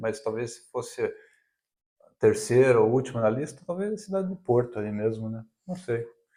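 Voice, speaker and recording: A man's dark, mellow voice at medium pitch, with ordinary pitch variation and a fairly quick pace. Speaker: vlogger. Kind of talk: casual chat.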